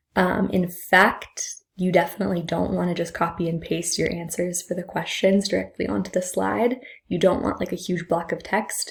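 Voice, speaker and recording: A woman's voice with vocal fry and fairly even intonation. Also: fairly low pitch for a woman. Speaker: high school psychology teacher. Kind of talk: recorded class update video. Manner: fast; casual, many fillers.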